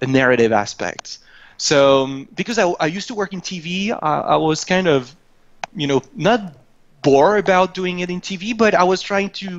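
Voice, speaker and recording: With lively intonation, a man talks at a moderate pace in a high voice. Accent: non-native. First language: not English. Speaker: video game creative director. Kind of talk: interview. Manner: halting.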